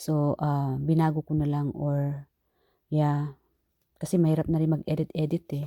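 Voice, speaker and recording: A soft-spoken woman with a very deep, low pitch and a dark, mellow tone, fairly slow and monotone, flat, in a dry, close sound with no echo. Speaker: tarot reader. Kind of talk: tarot reading. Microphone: not using her microphone, quiet.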